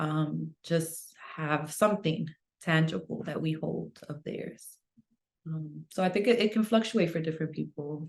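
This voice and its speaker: A woman with vocal fry speaks fairly slowly at a very deep, low pitch with ordinary pitch variation. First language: Spanish. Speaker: author. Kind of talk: interview.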